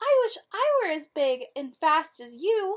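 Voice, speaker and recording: This put-on character voice is squeaky, with very wide pitch swings, big jumps in loudness, and a fairly slow pace. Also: woman, extremely high pitch for a woman. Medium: read story. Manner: eager, wistful.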